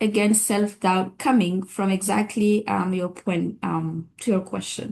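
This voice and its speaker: A woman speaks in a West African accent at a fairly slow pace. Her voice is somewhat breathy, with fairly even intonation. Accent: Francophone West African. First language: French. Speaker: physician and public health expert. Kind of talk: webinar discussion.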